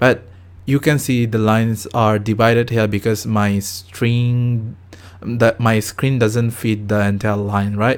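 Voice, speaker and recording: A man's very slow, monotone speech with flat intonation and very even loudness. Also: medium pitch for a man. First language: not English. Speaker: programming tutor. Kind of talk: tutorial. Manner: halting.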